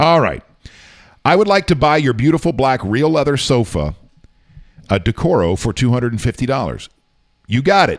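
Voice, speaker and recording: A man with an animated tone and vocal fry talks at a moderate pace and medium pitch, his voice making very wide pitch swings between long, frequent pauses. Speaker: radio show host. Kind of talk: casual storytelling on a live morning show. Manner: conversational, animated, recounting an anecdote.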